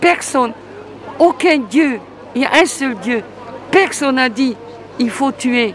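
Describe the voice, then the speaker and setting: Crowd noise and audible room echo surround a woman's high-pitched voice. She speaks at a very slow pace. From Hungary. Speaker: member of the public. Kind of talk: street interview. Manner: halting.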